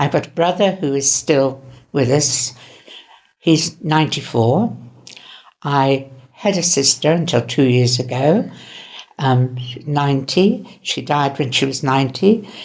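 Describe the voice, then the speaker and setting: With a southern English accent, a woman speaks fairly slowly in a very deep, low pitch, leaving long, frequent pauses. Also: ordinary pitch variation. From southern England, Winchester, Hampshire. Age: 80s+. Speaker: elderly interviewee. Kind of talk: personal reminiscence. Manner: halting.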